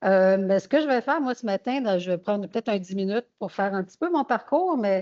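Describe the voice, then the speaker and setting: A woman's fairly quick speech with lively intonation. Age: 60s. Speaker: patient association director. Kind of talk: testimony. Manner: hesitant, many fillers.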